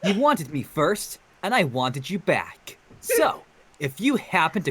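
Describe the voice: The clip is a plain reading aloud.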